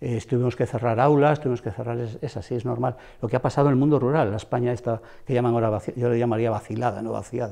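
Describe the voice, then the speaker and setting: A man at medium pitch with a dark, mellow tone, very fast pace and fairly even intonation, over a quiet background. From Ponferrada, El Bierzo, León, Spain; Spain. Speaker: retired schoolteacher. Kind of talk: interview. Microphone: lapel.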